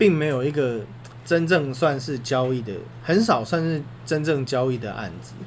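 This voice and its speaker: There is audible room echo around a man's somewhat breathy voice. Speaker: sports podcast co-host. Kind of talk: casual chat.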